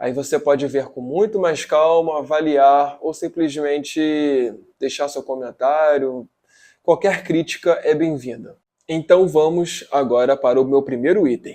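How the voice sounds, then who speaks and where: Here a man speaks at a fairly slow pace with a fairly high pitch and a dark, mellow tone. His pitch variation is ordinary, and the background is quiet. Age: 20s. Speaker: journalism student. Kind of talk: video presentation.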